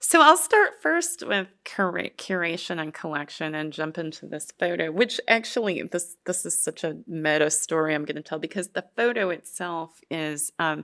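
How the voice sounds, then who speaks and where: On a very clean recording with a silent background, a woman with a fairly low pitch and a bright, sharp tone speaks at a moderate pace with hardly any pauses and ordinary pitch variation. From Western Kentucky. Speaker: writer and professor. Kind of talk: keynote talk with slides. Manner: hesitant, many fillers.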